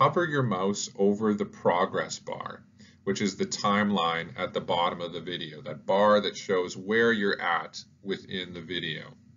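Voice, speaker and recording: An ordinary speaking voice from a man, at a moderate pace with ordinary pitch variation. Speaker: educational YouTuber, teacher. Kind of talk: tutorial.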